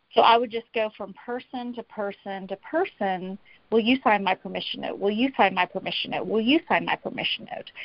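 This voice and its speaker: At a fairly quick pace with hardly any pauses, a woman with an American accent uses an ordinary speaking voice, fairly high in pitch with ordinary pitch variation. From US South, Tennessee. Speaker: author and coach on personal integrity. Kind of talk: interview conversation.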